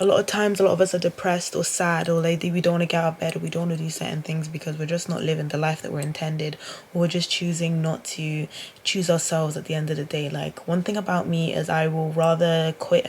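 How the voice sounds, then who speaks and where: A woman with a British accent talks very fast in a very deep, low voice. Her delivery is monotone and flat over noticeable background noise. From UK. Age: 20s. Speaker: vlogger. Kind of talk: casual vlog monologue. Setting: in bed at home, self-recorded. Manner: talkative, rambling delivery.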